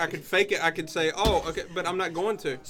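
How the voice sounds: A high-pitched man with an American accent at a very fast pace, fairly even intonation, noticeable background noise throughout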